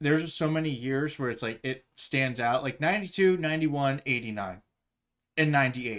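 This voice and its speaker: Here a man talks in a normal speaking voice at a fairly quick pace. His pitch is fairly high, with ordinary variation. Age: 20s. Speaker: podcast host. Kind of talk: casual chat.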